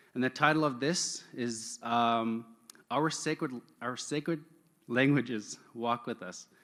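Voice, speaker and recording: A man speaks at a fairly slow pace in an unremarkable speaking voice. His pitch sits in the medium range and varies in an ordinary way. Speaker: event emcee. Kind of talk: live event hosting. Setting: stage at an online-streamed event. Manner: casual, upbeat.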